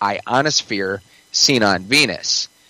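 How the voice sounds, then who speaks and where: Medium-pitched male voice over noticeable background noise. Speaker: prophecy podcaster. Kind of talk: casual chat.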